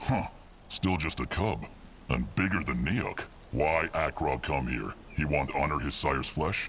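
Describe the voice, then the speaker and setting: A man uses a put-on character voice with a very deep, low pitch. Clear background noise can be heard. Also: moderate pace. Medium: video game. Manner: broken grammar, curt.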